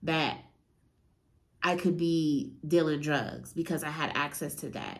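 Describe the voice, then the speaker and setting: A woman's voice with audible room echo. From US West Coast, San Francisco Bay Area. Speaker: real estate entrepreneur and motivational speaker. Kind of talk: motivational talk. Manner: casual.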